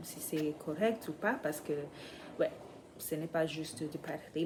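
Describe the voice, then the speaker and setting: A woman with a fairly low pitch. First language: not French (speaking French). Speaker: vlogger, French learner. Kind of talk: casual vlog. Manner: halting, many hesitations.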